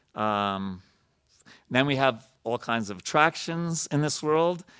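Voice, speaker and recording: On a very clean recording with a silent background, a man with an American accent has a plain, everyday voice, fairly high in pitch with lively intonation. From New York. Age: 50s. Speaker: temple president and spiritual speaker. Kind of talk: sermon. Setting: temple with audience.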